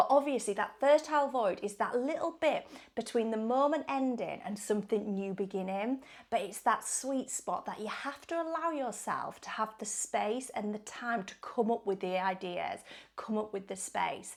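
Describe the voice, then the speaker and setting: A woman with an English accent speaks in an animated tone, her fairly high voice carried by lively intonation. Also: moderate pace. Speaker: wellbeing vlogger. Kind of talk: casual chat.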